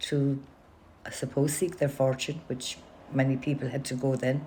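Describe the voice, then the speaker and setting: A somewhat breathy woman's voice, very deep and low in pitch, with a dark, mellow tone and fairly even intonation. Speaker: oral history interviewee. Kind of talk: oral history interview.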